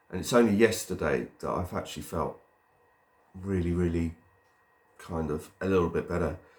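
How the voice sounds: A man speaks at a moderate pace with a low pitch and ordinary pitch variation.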